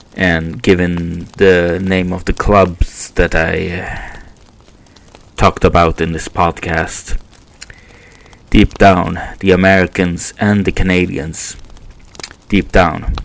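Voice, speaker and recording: Very deep, low male voice with a non-native accent, very slow and monotone, with long, frequent pauses and noticeable background noise. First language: Swedish. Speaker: podcast host. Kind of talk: casual monologue podcast. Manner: halting, many fillers.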